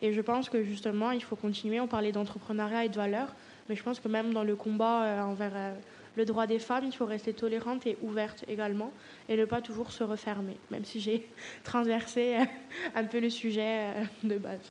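A woman talks at a fairly high pitch, in a monotone, flat intonation. Her pace is moderate, with long, frequent pauses. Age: 20s. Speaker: art student and entrepreneur. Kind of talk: casual discussion.

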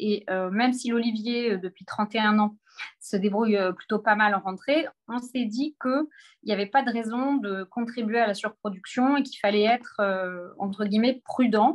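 A woman with an ordinary speaking voice and a fairly high pitch talks at a moderate pace, her intonation fairly even. The sound is dry and close, with no echo. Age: 40s. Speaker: publishing director. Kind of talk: book presentation on a video call. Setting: video call from her office.

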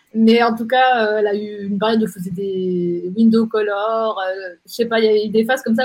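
A woman with a normal speaking voice speaks at a fairly quick pace, her fairly high pitch held in fairly even intonation. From Geneva, Switzerland. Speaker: digital strategy agency director and blogger. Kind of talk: interview.

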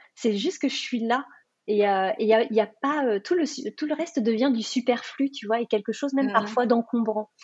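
Moderate pace and ordinary pitch variation from a high female voice. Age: 40s. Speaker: life coach. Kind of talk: interview. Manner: halting.

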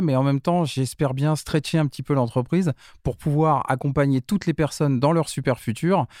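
A man with a plain, everyday voice speaks at a fairly quick pace, his fairly high pitch and very even loudness captured in a very clean recording with a silent background. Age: 50s. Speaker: start-up founder, former business school director. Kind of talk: casual interview.

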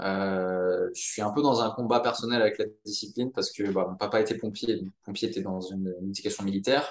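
A man talks at a fairly quick pace with hardly any pauses, in a fairly low pitch and ordinary pitch variation. He has a plain, everyday voice. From Monaco. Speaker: entrepreneur, social network founder. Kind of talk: casual interview.

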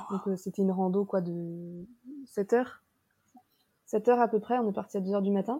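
Long, frequent pauses break up a somewhat breathy voice with a dark, mellow tone and fairly even intonation. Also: woman, medium pitch for a woman, moderate pace. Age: 20s. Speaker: digital nomad, marketing worker. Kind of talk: casual chat.

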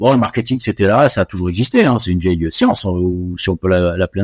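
The clip is very clean, with silence in the background. A man talks at a moderate pace. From West Africa (Côte d'Ivoire, Morocco, Senegal). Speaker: chartered accountant and auditor. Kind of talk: interview. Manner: hesitant, many fillers.

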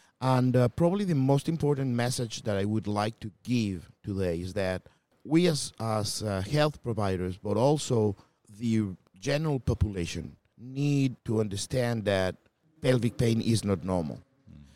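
A Spanish accent with a dark, mellow tone, lively intonation, and a fairly slow pace, on a very clean recording with a silent background. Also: man, medium pitch for a man. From Colombia. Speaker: gynecologist. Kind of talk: interview.

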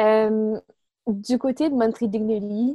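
A woman with a fairly high pitch and a dark, mellow tone, fairly even intonation, in a dry, close sound with no echo. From Quebec, Montreal. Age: 20s. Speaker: medical student and nonprofit co-founder. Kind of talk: interview. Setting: remote call. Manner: halting.

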